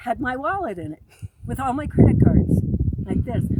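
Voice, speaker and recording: The woman's voice is loud and high-pitched. She speaks at a moderate pace. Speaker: military veteran. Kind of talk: personal monologue. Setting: outdoors.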